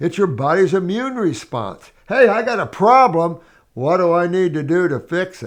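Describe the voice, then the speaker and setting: With lively intonation, a man talks at a moderate pace in a high pitch. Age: 70s. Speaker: naturopath answering viewer questions. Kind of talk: Q&A, reading and answering viewer letters. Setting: office. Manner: casual, hesitant with many fillers.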